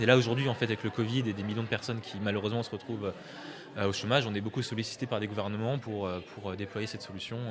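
At a very fast pace and with fairly even intonation, a man talks over noticeable background noise. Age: 20s. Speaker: tech nonprofit founder. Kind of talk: radio interview.

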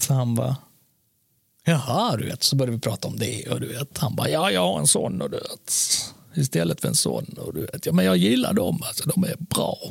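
Using vocal fry, a man talks at a fairly quick pace in a medium pitch, with very wide pitch swings. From born in Serbia, moved to Sweden around age four. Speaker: podcast co-host. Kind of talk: casual chat. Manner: animated.

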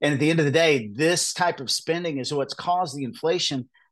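Over a quiet background, a man with an American accent speaks fairly quickly in a plain, everyday voice, fairly high in pitch, with ordinary pitch variation. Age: 50s. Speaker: presidential candidate. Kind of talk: interview.

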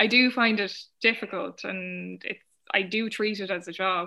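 A woman with an Irish accent speaks at a medium pitch and a moderate pace. Her tone is bright and sharp, with fairly even intonation. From Ireland. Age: 20s. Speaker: novelist. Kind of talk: casual chat. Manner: hesitant, with frequent fillers.

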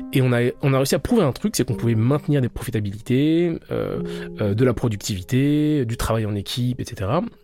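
With music in the background, a man talks at a moderate pace with hardly any pauses and ordinary pitch variation. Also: medium pitch for a man. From France, Paris suburbs (Val-de-Marne). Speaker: sociologist. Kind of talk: interview. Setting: studio.

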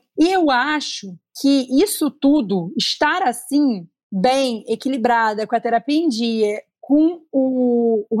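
The speaker is a woman with ordinary pitch variation. Her recording is very clean, with a silent background. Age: 30s. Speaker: content creator. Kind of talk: casual chat. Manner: talkative.

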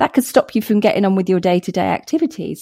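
A woman with a southern English accent, a medium pitch and a dark, mellow tone, in a very clean recording with a silent background and a dry, close sound with no echo. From England, Hertfordshire. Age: 40s. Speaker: anti-racism author and speaker. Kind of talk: podcast interview.

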